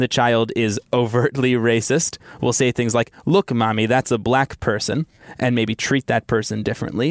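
A man's ordinary speaking voice, medium-pitched, at a moderate pace with ordinary pitch variation, in a dry, close sound with no echo. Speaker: science editor. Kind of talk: interview explaining research.

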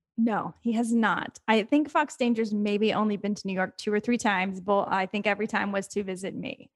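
A woman with an unremarkable speaking voice, medium pitch and ordinary pitch variation, talking at a fairly quick pace with hardly any pauses. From Texas. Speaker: fantasy football podcast co-host. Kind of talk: sales pitch; casual chat.

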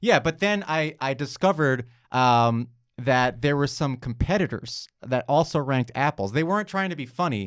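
A normal speaking voice with an American accent and lively intonation at a moderate pace, on a very clean recording with a silent background. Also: man, fairly high pitch for a man. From New York. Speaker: comedian and cartoonist. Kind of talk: casual chat.

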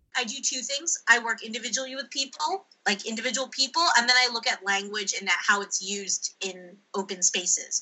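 A woman with an American accent talks fairly quickly in a fairly high voice, a normal speaking voice with lively intonation. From United States. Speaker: linguistic anthropologist. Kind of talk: interview. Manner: frequent um and uh fillers.

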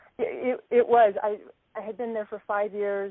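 A plain, everyday voice from a woman with an American accent, at a moderate pace with fairly even intonation. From Alaska, US. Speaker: aid worker, HR and finance manager. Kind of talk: interview.

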